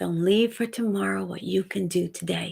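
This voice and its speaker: A woman at a medium pitch with a slight Dominican accent, on a very clean recording with a silent background. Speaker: actor and motivational speaker. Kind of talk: live stream chat. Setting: home live stream. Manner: animated.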